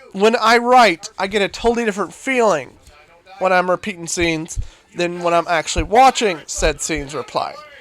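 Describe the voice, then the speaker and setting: Noticeable background noise runs under an animated tone delivered at a moderate pace. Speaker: gaming streamer. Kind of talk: gameplay commentary. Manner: loud.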